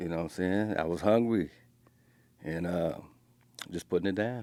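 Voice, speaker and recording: At a moderate pace, a man speaks at a very deep, low pitch with a dark, mellow tone and ordinary pitch variation. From South Central Los Angeles. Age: 60s. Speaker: former prisoner. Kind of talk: interview. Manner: casual.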